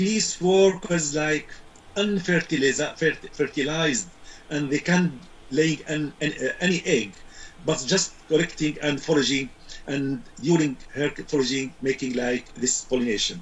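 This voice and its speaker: A man with an Arabic accent at a fairly slow pace, with ordinary pitch variation. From Syria. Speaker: beekeeping expert. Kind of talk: interview. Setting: video call. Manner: halting. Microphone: video call.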